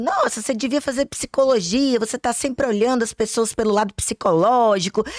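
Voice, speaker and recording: A woman speaks with a Minas Gerais accent. Her pitch is high and her intonation lively. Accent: Minas Gerais (mineiro) accent, kept. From Brazil, Minas Gerais (Belo Horizonte). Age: 40s. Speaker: pharmacist and instructor. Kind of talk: online masterclass lecture.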